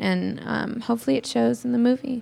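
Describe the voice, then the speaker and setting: With an American accent, a woman talks at a fairly quick pace in a plain, everyday voice with ordinary pitch variation. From California. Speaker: actress. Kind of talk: press junket panel.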